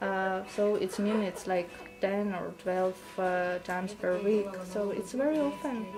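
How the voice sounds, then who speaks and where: A woman talks fairly slowly, her pitch varying in an ordinary way, while music plays behind her. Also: medium pitch for a woman. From Luhansk region, Ukraine. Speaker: volunteer. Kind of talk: interview.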